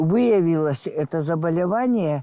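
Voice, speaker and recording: Speaking at a very slow pace, a woman with a fairly low pitch and a dark, mellow tone uses lively intonation in a dry, close sound with no echo. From Belarus. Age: 80s+. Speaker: war eyewitness. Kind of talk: interview answer.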